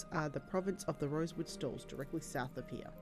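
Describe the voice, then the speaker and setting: Music sounds in the background. The talking goes at a fairly quick pace. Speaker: video game streamer. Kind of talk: reading unvoiced game dialogue aloud. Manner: quiet, low volume.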